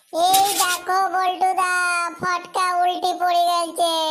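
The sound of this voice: This cartoonish character voice is squeaky and extremely high-pitched, delivered at a very slow pace in a flat monotone.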